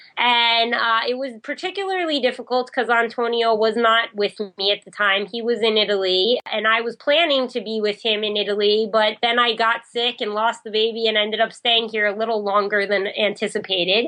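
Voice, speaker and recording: With an unremarkable speaking voice, a woman talks at a fairly quick pace and fairly high pitch with ordinary pitch variation. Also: hardly any pauses. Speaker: newlywed relationship writer, podcast guest. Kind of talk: interview.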